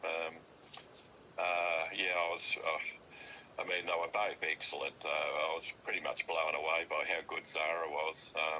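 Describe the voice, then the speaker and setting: Over noticeable background noise, the speaker talks at a fairly slow pace with very even loudness. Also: man. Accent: Australian. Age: 70s. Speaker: father of the host. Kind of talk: casual chat. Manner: halting, many fillers and repetitions.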